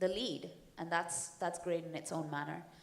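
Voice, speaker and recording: Set against audible room echo, a woman with a fairly low pitch talks at a fairly slow pace in fairly even intonation. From India. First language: Hindi. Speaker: comic book writer and actor. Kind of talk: panel discussion. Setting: stage with audience.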